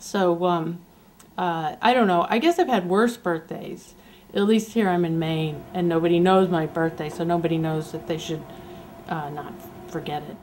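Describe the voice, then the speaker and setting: What we hear is an ordinary speaking voice. Its pitch shifts in an ordinary way. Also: woman, fairly low pitch for a woman, moderate pace. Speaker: amateur documentary filmmaker. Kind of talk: video diary.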